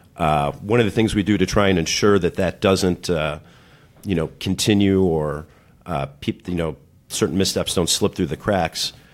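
Speaking at a moderate pace, a man with a very deep, low pitch shows ordinary pitch variation. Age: 40s. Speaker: restaurant manager. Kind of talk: casual chat.

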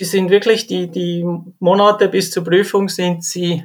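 A man with a Swiss accent speaks at a very slow pace and a high pitch. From Switzerland. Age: 40s. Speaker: railway firefighter. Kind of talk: interview.

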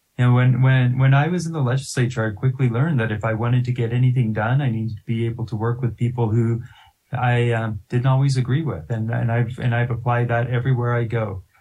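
Very fast and somewhat breathy, the voice has a dark, mellow tone, fairly even intonation and a General American accent. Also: man, medium pitch for a man. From Colorado, Littleton. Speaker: university president, former state legislator. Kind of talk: interview.

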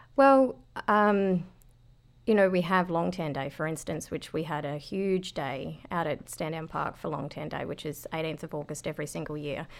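Speaking at a moderate pace with an Australian accent, a woman has a very deep, low-pitched voice and ordinary pitch variation. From Australia, rural southeast Queensland. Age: 30s. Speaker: veterans retreat operator. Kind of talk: casual interview. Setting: studio.

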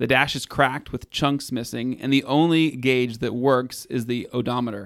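Plain reading aloud, intonation fairly even

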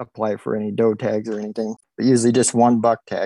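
A man with a normal speaking voice and medium pitch at a fairly quick pace, dry and close with no echo. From Oregon. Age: 40s. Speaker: deer hunter. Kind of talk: casual interview.

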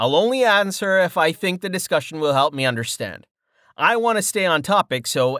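Lively intonation runs through a natural reading voice. Behind it, all is quiet.

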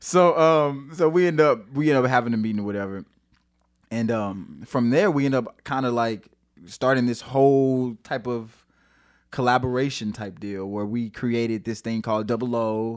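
On a very clean recording with a silent background, a man in a plain, everyday voice speaks at a moderate pace and medium pitch with ordinary pitch variation. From St. Louis, Missouri. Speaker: singer-songwriter. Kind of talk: casual chat. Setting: studio.

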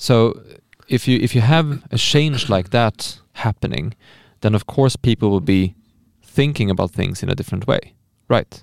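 A man's medium-pitched voice with a Swedish accent, at a moderate pace with ordinary pitch variation, in a dry, close recording with no echo. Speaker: podcast host. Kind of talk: casual chat.

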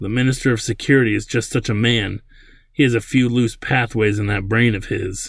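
A man with a medium-pitched voice speaks at a moderate pace with fairly even intonation, on a very clean recording with a silent background. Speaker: author and podcaster. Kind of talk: literary audiobook reading of a sci-fi novel chapter; casual commentary. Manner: measured, expressive narration, doing character dialogue; conversational, filler-heavy, halting.

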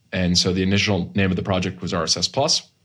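With an American accent, a man speaks in a very deep, low, monotone voice. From US Northeast, Massachusetts. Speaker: tech startup co-founder. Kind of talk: interview.

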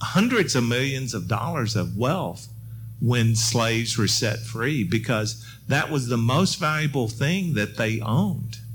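The speaker has an American accent and talks at a fairly slow pace. Audible room echo and music in the background accompany the voice. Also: man, medium pitch for a man, ordinary pitch variation. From Middle Tennessee, US South (Murfreesboro). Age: 60s. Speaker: historian and professor. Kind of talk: panel discussion.

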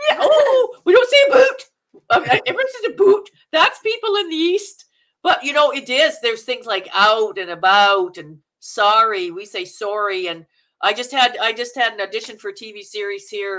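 Speaking at a moderate pace with a Canadian accent, a woman uses a high pitch with very wide pitch swings and big swings in loudness. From Manitoba, Canada. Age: 60s. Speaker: actress. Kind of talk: interview. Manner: animated.

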